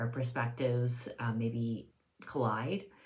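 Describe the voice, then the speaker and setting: A woman speaking fairly slowly, with audible room echo. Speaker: video blogger. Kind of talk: casual monologue. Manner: hesitant, many fillers.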